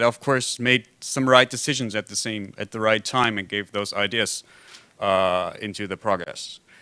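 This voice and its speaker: Over a very clean recording with a silent background, a man speaks at a moderate pace in a bright, sharp tone. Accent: German. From Germany. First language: German. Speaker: foundation representative, symposium discussant. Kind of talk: conference panel discussion remarks. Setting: conference with simultaneous translation. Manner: halting, many fillers.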